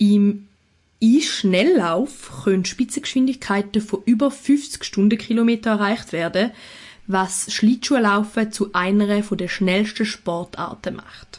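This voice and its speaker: Somewhat breathy, a woman speaks very slowly at a medium pitch with ordinary pitch variation. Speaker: podcast co-host. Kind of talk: casual chat; scripted narration.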